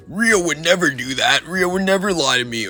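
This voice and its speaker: A man's high-pitched, put-on character voice at a fairly quick pace. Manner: put-on, imitative.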